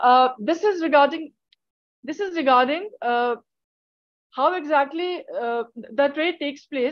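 Over a quiet background with a dry sound and no echo, a woman speaks at a fairly slow pace with a high pitch and lively intonation. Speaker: PhD student; conference presenter. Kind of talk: conference presentation. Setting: video call. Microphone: video call.

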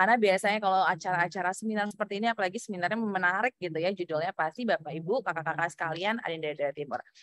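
A woman speaks at a very fast pace with hardly any pauses, the sound dry with no echo. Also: ordinary pitch variation. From Indonesia. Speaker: public speaking trainer. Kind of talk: workshop lecture. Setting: video call. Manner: animated.

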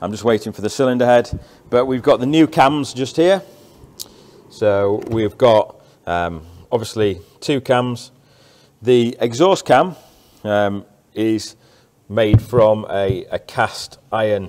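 Speaking at a very slow pace, a man leaves long, frequent pauses. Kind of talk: tutorial walkthrough. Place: workshop. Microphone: phone near.

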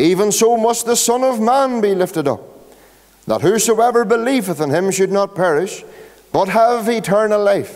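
A moderate pace carries the speech. The voice belongs to a man. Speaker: pastor. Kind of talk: scripture reading and sermon. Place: church. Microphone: podium.

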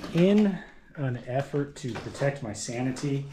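Light background noise can be heard. A man speaks over it. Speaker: explorer vlogger. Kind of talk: casual vlog chat. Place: classroom. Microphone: phone near.

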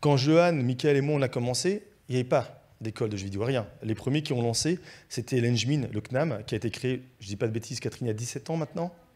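A very fast-talking man, pitch varying in an ordinary way. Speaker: independent video game professional; speaker. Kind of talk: panel discussion. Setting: stage with audience. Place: stage. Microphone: handheld.

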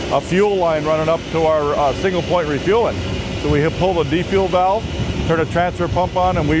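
Over background music, a man talks fairly quickly with ordinary pitch variation, in a dry sound with no echo. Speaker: aircraft crew guide. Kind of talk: tour explanation. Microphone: lapel.

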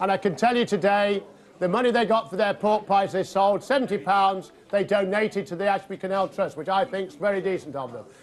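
A man talks at a fairly quick pace in a high pitch. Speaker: volunteer charity auctioneer. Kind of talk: auction calling. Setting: live auction room. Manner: smooth, charming patter. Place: hall.

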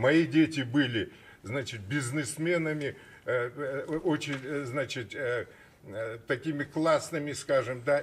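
Speaking very slowly, a man uses a fairly high, somewhat breathy voice with ordinary pitch variation. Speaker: businessman in a bank dispute; guest. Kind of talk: studio talk show discussion. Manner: animated. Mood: aggrieved, earnest. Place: studio. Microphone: studio mic.

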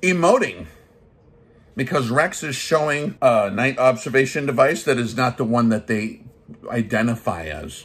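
His intonation is lively as the man speaks. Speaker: gun channel host, army veteran. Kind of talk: comedic rant review. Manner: animated. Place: home room. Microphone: phone near.

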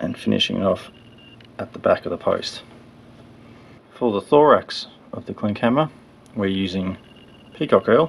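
A man with an Australian accent speaks at a moderate pace, with big swings in loudness and long, frequent pauses. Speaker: fly tyer. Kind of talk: fly tying tutorial narration. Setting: poor audio quality.

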